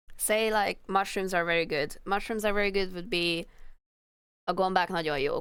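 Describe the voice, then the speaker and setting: On a very clean recording with a silent background, a woman in a Hungarian accent speaks at a medium pitch and a moderate pace with fairly even intonation. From Hungary. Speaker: streamer, illustrator. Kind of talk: casual live stream chat. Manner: halting.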